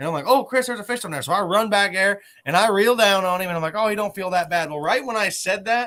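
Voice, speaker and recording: A man with an American accent talks very fast in a raised, projected voice, with hardly any pauses and ordinary pitch variation. His pitch is high and his tone bright, sharp and animated. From southern Ohio. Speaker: catfishing tournament director and podcast host. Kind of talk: casual chat.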